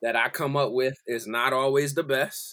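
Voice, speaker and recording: With an American accent, this voice has a bright, sharp tone, a fairly slow pace and fairly even intonation. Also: man. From South Jersey, Philadelphia area. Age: 30s. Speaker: musical director. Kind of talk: casual interview chat. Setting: remote call from home.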